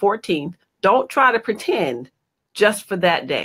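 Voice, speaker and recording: A woman's lively intonation at a moderate pace, against a quiet background. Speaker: guest. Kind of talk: interview answer.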